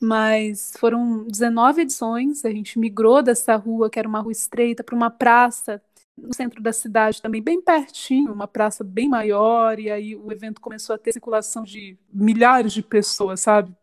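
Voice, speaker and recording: A woman speaks in a plain, everyday voice, fairly high in pitch and fairly even in intonation. Her pace is moderate with hardly any pauses, while her loudness swings a lot. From Sorocaba, interior of São Paulo state, Brazil. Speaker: singer-songwriter and cultural producer. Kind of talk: casual interview.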